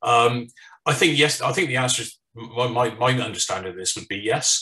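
A man speaks with a British accent. The background is quiet. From United Kingdom. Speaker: firearms consultant, former law enforcement; webinar panelist. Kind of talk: presentation. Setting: online webinar. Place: home room. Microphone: webcam.

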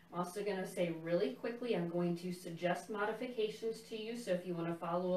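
The speech comes at a very fast pace with ordinary pitch variation. Audible room echo and light background noise sit behind it. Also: woman. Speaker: tai chi instructor. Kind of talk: guided class instruction. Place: home room. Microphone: camera far.

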